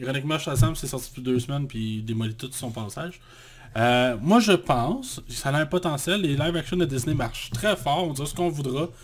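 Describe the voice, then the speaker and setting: This man talks at a fairly quick pace in a somewhat breathy voice of medium pitch, with ordinary pitch variation. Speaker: podcast co-host, film critic. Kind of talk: casual chat.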